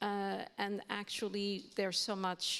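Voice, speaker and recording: Her speech carries a Portuguese accent. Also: very clean recording, silent background. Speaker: university language lecturer on a panel. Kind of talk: panel discussion.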